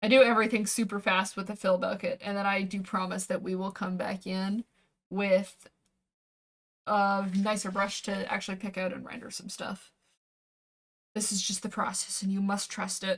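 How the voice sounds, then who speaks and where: Relaxed in tone and somewhat breathy, a woman at a medium pitch talks at a moderate pace in a monotone, flat intonation, with long, frequent pauses. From Canada. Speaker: VTuber streamer and artist. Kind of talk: casual livestream chat while drawing. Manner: relaxed, chatty.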